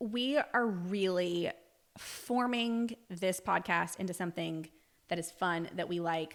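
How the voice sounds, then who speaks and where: A woman speaks with a slight Southern US accent at medium pitch. Her pace is very slow, with ordinary pitch variation. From US South, Alabama; Navy family, moved around. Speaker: podcast co-host. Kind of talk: casual chat.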